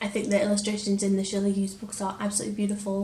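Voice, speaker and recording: Amid noticeable background noise, a woman speaks at a medium pitch. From Lancashire, England. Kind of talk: casual talk to camera.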